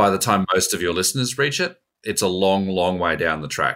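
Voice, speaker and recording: A man with a very deep, low pitch and a bright, sharp tone, in an Australian accent, on a very clean recording with a silent background. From Australia, born in New Zealand. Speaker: investment executive. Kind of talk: interview.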